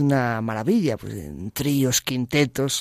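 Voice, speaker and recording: In an ordinary speaking voice, a man talks at a fairly slow pace and a fairly high pitch, the sound dry and close with no echo on a very clean recording with a silent background. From Galicia, Spain (A Coruña). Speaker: pianist and composer. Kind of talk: radio interview.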